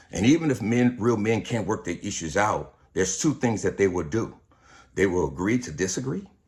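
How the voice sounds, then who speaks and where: The very clean recording, with its silent background, captures a man at a fairly low pitch. He sounds somewhat breathy, with lively intonation at a moderate pace. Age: 60s. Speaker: pastor. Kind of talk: video monologue. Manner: casual, conversational.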